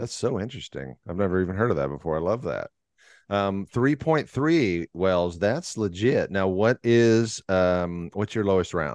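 Against a quiet background, a man with an American accent uses an ordinary speaking voice, fairly low in pitch with lively intonation at a moderate pace, in a dry, close sound with no echo. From Texas, Fort Worth. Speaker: podcast host. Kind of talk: scripted narration; casual chat.

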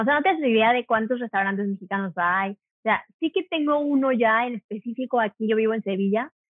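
A woman talks at a fairly quick pace with hardly any pauses, in a plain, everyday voice. Her pitch is fairly high, with ordinary pitch variation. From Mexico, Cuernavaca. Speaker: hotel worker and video creator. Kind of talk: casual interview. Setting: phone call.

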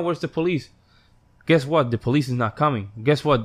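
A man with a Spanish accent talks at a fairly quick pace in a fairly high pitch. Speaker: musician and podcaster. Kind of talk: casual chat.

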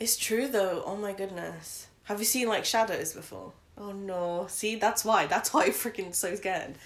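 An unremarkable speaking voice from a woman, medium in pitch with ordinary pitch variation, at a moderate pace with big swings in loudness. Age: 20s. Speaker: podcast co-host. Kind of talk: casual chat.

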